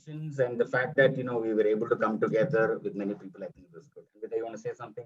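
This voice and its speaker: A man with a non-native accent and medium pitch speaks very fast with hardly any pauses, lively intonation, and big swings in loudness. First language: not Kannada. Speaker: actor in a short film. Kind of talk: webinar discussion. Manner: hesitant, with fillers.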